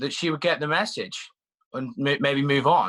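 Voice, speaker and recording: With a British accent, a man speaks fairly slowly at a fairly high pitch in a bright, sharp tone, with ordinary pitch variation. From UK, Irish family. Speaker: reality TV contestant. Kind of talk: interview. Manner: halting.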